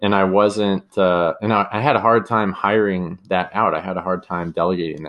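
Against a quiet background, a man with a Californian accent speaks at a moderate pace and a fairly low pitch, with ordinary pitch variation. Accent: Californian American. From US West Coast, San Diego, California. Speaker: podcast host, e-commerce business owner. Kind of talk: solo podcast monologue, casual.

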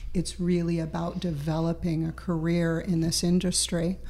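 Audible room echo accompanies a woman speaking at a fairly slow pace. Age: 60s. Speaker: professional chef. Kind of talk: casual interview.

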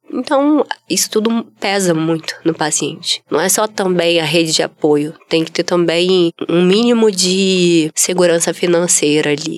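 Using an ordinary speaking voice, a woman talks at a fairly slow pace in a fairly low pitch with ordinary pitch variation. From Brazil, Espírito Santo (Vitória). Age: 30s. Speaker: former art teacher, leukemia survivor. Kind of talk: testimony.

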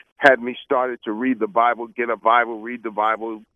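A man with a New York accent talks at a moderate pace in a medium pitch. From Brooklyn, New York. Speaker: preacher and business coach. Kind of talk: radio interview.

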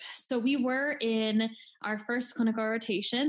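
A woman with an American accent speaks at a fairly high pitch with fairly even intonation. Her voice is somewhat breathy. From Erie, Pennsylvania. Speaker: graduate student. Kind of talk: casual chat. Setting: video call.

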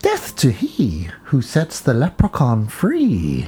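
This put-on character voice sits at a low-to-middle pitch and moves at a very slow pace.

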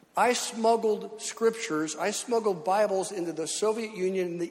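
A man at a moderate pace with hardly any pauses, ordinary pitch variation and noticeable background noise. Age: 70s. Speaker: pastor. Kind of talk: sermon. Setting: church.

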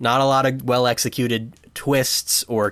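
With a plain, everyday voice, a man speaks at a medium pitch with fairly even intonation in a dry, close sound with no echo. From United States. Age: 20s. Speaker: podcast host, film enthusiast. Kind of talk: casual chat.

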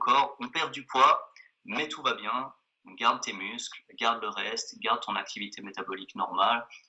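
A man's voice at a moderate pace, with big swings in loudness. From Switzerland (Geneva). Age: 30s. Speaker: exercise physiologist and author. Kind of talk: interview.

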